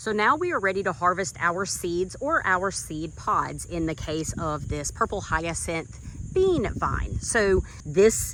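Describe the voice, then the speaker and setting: A woman talks with a Southern US accent at a medium pitch. Her intonation is lively, and vocal fry shows through. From US South, central North Carolina. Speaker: gardening YouTuber. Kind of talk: tutorial. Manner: animated.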